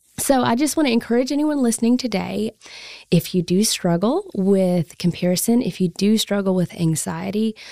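A soft-spoken woman talks at a medium pitch with a dark, mellow tone and lively intonation. The sound is dry and close, with no echo. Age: 20s. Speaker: podcast host. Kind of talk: casual chat. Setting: studio.

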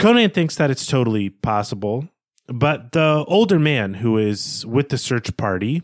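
Lively intonation colors a natural reading voice, with a quiet background behind it.

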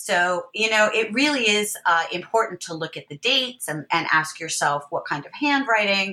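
A woman speaks at a moderate pace in a medium pitch, her bright, sharp tone marked by very wide pitch swings and big swings in loudness. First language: not Spanish; English native. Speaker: history professor and author. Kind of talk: academic interview. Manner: halting with frequent fillers.

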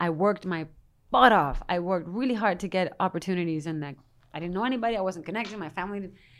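Speaking at a very fast pace, a woman with a Spanish accent keeps a medium pitch and ordinary pitch variation. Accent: Spanish (European) accent in English. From Spain, Madrid. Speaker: actress. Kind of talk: casual interview.

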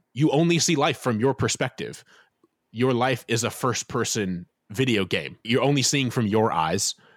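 A man with an American accent and an unremarkable speaking voice talks at a moderate pace and a medium pitch, with lively intonation. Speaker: author. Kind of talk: interview.

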